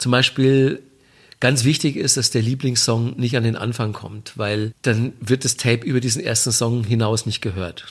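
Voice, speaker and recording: A somewhat breathy man's voice at medium pitch, fairly even in intonation, at a moderate pace. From Bavaria, Manching near Ingolstadt. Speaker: music TV presenter. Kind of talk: interview. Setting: remote line.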